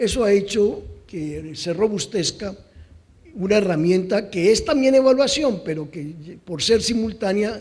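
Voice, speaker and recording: A man talks rather slowly. His voice is pitched high. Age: 60s. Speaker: conference speaker on policy evaluation. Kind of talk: conference talk.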